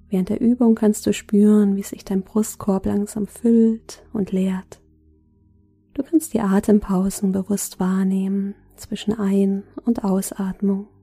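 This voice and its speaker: Calm and soothing in tone, a woman speaks very slowly at a medium pitch, somewhat breathy, with fairly even intonation. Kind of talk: guided meditation. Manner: slow, soft-spoken, calm and soothing with long pauses.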